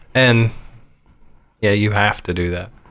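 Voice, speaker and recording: A man speaks with fairly low pitch. His intonation is fairly even. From Ohio. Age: 30s. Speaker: IT technician. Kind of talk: interview.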